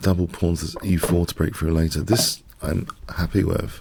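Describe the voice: A low-pitched man speaks with a slightly mellow tone, vocal fry and a slightly husky edge.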